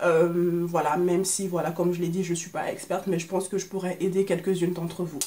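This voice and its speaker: Noticeable background noise fills the clip. Over it, a woman talks. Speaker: beauty vlogger. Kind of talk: casual makeup vlog. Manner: hesitant, many fillers.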